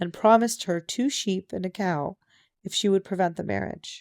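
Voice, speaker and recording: Soft-spoken and dark, mellow in tone, a woman talks at a moderate pace with medium pitch and ordinary pitch variation, the sound dry and close with no echo. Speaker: audiobook narrator. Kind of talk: reading aloud.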